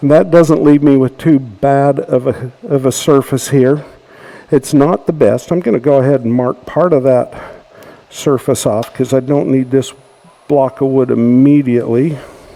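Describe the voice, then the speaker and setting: A man's medium-pitched voice with an American accent, fairly even intonation and a moderate pace over noticeable background noise. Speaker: woodturning demonstrator. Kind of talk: tutorial demonstration.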